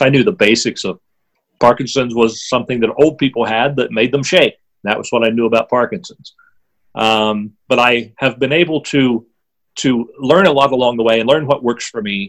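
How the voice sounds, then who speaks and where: This man has an unremarkable speaking voice, medium in pitch, and talks at a moderate pace with an American accent. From southwestern Pennsylvania. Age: 50s. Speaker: author and former drummer with Parkinson's. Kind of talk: interview.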